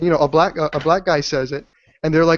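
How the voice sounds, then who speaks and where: A man speaks with an American accent, his pitch fairly high. It is an ordinary speaking voice. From US, Washington D.C. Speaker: online stream panelist. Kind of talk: casual debate on a video call stream.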